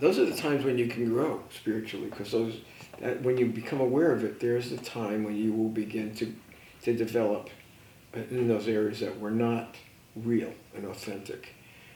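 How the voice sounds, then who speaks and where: Audible room echo carries a man's medium-pitched voice with fairly even intonation. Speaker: life coach and mentor. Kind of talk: radio interview conversation. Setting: radio show. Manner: fast.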